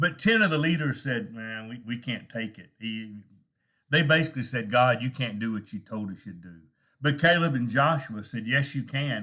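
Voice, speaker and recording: Lively intonation and a bright, sharp tone in a Texan accent, with big swings in loudness, in a very clean recording over a silent background. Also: man, medium pitch for a man, moderate pace. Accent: Texan American English. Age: old. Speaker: preacher. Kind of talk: devotional talk. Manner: conversational, halting.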